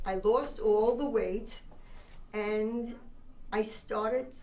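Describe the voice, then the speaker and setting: Audible room echo and noticeable background noise surround a woman with a fairly high pitch. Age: 70s. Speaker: diet center founder. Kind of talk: personal testimony.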